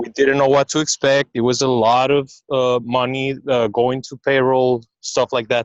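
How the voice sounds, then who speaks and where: This speaker talks with a non-native accent and monotone, flat intonation. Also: man, medium pitch for a man, moderate pace, hardly any pauses. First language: not English. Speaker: restaurant business owner. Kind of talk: personal testimony. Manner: halting.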